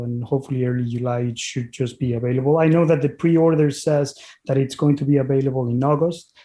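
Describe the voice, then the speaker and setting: With a strong Mexican accent, a man talks at a very fast pace in a medium pitch. His tone is dark and mellow, his intonation fairly even, and the background quiet. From Mexico (Puebla, Mexico City). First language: Spanish. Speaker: physician and author. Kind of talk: interview podcast.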